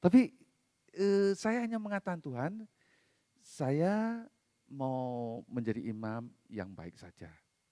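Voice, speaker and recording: Very slow, dry, close speech from a man with no echo, at a fairly high pitch with very wide pitch swings, a dark, mellow tone, big swings in loudness and long, frequent pauses, on a very clean recording with a silent background. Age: 60s. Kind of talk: sermon. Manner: conversational, casual asides.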